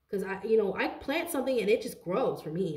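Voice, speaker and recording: A woman speaks at a fairly quick pace in an animated, somewhat breathy tone. The background is quiet, though audible room echo can be heard. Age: 30s. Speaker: tarot card reader. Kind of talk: tarot reading monologue. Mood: animated, indignant. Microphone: phone near.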